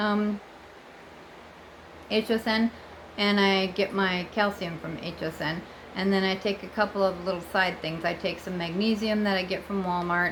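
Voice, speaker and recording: Speech comes at a moderate pace in a monotone, flat intonation, with long, frequent pauses and noticeable background noise. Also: woman, medium pitch for a woman. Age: 60s. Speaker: vlogger. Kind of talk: casual vlog monologue. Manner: chatty, with fillers and self-corrections.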